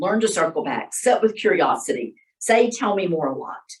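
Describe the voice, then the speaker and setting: Somewhat breathy woman at a medium pitch and moderate pace. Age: 60s. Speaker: workshop presenter. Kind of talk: workshop talk. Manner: casual, conversational.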